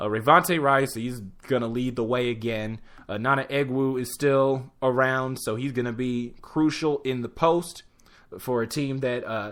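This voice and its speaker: On a very clean recording with a silent background, a man with an American accent talks at a fairly slow pace. He has an ordinary speaking voice, medium in pitch with fairly even intonation. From Chicago area, US Midwest. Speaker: sports talk host. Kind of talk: solo sports preview show. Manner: casual, filler-heavy.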